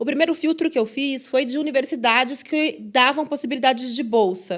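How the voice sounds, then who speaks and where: A woman with a high voice speaks at a moderate speed, her pitch varying in an ordinary way. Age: 30s. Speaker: journalist and podcast host. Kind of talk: interview. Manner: casual, conversational.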